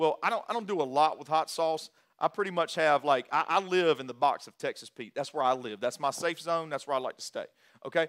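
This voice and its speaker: A man's unremarkable speaking voice, fairly high in pitch, at a moderate pace, dry and close with no echo. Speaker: pastor. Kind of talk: sermon. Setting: church.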